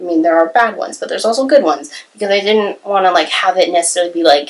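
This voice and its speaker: A woman speaks with ordinary pitch variation. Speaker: YouTuber and aspiring novelist. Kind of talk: casual vlog monologue. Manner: hesitant with many fillers.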